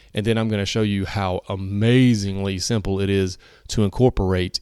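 In a very clean recording with a silent background, a man with an American accent speaks in a dark, mellow tone at a fairly low pitch, the sound dry and close with no echo. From US South, North Carolina. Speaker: personal trainer, podcast host. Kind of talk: solo podcast, fitness advice. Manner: casual, energetic.

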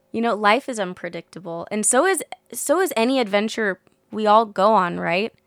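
An unremarkable speaking voice from a woman with an American accent, fairly high pitch, moderate pace, ordinary pitch variation and a dry, close sound with no echo. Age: 20s. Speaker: interview guest, adventurer. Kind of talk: casual interview. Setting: studio in a trailer.

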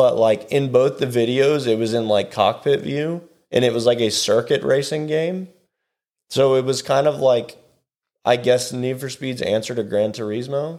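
This man has an ordinary speaking voice at a medium pitch. He keeps a moderate pace and ordinary pitch variation. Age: 20s. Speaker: podcast co-host. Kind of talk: casual chat.

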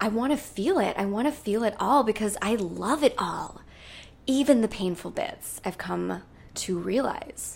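With an American accent, a woman speaks at a fairly high pitch with lively intonation, a warm tone and vocal fry. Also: fairly slow pace. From US Midwest, rural Minnesota. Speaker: podcast host, wellness coach. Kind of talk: solo podcast monologue. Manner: warm, effusive.

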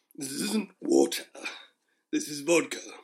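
Put-on character voice, raspy and delivered at a moderate pace. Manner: slurring.

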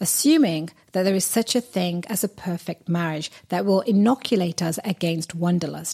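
On a very clean, dry, close recording with a silent background and no echo, a woman with a British accent talks at a moderate pace and medium pitch, her intonation lively. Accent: British-sounding. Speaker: podcast host and relationship coach. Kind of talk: monologue.

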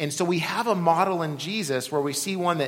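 A high-pitched man at a moderate pace, with audible room echo. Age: 40s. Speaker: pastor. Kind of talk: sermon.

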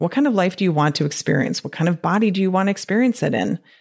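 Animated in tone, a woman with a Detroit accent and a fairly low pitch talks at a very fast pace. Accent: Detroit-area Midwestern. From US Midwest, Detroit area. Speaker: physician and weight loss coach podcast host. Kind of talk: solo podcast talk. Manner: animated, frequent laughter.

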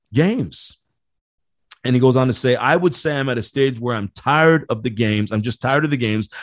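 A fairly quick man's delivery in a normal speaking voice, with ordinary pitch variation. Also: dry, close sound with no echo. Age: 40s. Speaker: leadership podcast host. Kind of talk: solo podcast monologue with book reading. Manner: casual with frequent fillers and repeated words.

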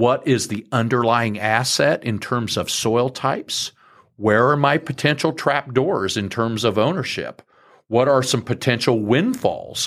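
A man with an unremarkable speaking voice and ordinary pitch variation, on a very clean recording with a silent background. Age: 50s. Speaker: farmland broker and farm manager. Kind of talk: interview.

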